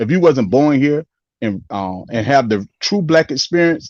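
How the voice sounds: A man with a slightly mellow tone speaks at a moderate pace, the sound dry and close with no echo.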